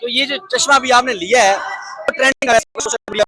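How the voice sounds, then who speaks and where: A man speaks at an extremely high pitch, recorded dry and close with no echo. Music plays in the background. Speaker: street news reporter. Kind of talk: on-location news interview. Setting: outdoors.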